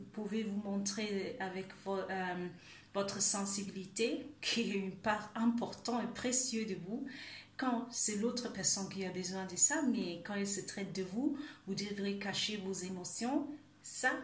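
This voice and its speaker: Audible room echo and noticeable background noise surround a woman speaking at medium pitch and a fairly slow pace with fairly even intonation. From Germany. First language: German (speaking French). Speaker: life coach. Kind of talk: video monologue, self-help talk. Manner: halting, many hesitations.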